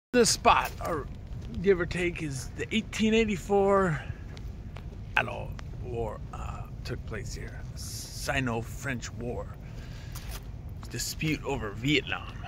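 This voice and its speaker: A man at a very slow pace with long, frequent pauses and big swings in loudness, dry with no echo, amid noticeable background noise. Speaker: travel vlogger. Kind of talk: casual vlog chat. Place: open country. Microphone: phone near.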